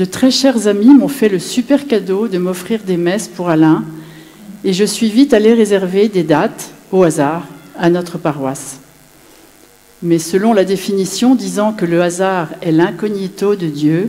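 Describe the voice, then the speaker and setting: Over noticeable background noise, the speaker uses lively intonation at a fairly slow pace, with long, frequent pauses. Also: woman, medium pitch for a woman. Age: 60s. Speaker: widow giving a faith testimony. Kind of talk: testimony.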